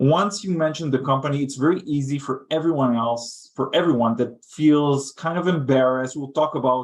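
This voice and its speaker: With a non-native accent, the speaker keeps a moderate pace and ordinary pitch variation. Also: man. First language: not English. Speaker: head of thought leadership. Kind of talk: webinar panel discussion.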